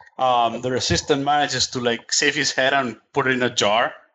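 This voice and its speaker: A man speaks with an unremarkable speaking voice at a medium pitch. His pace is moderate and his intonation fairly even. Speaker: video game podcast panelist. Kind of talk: casual chat.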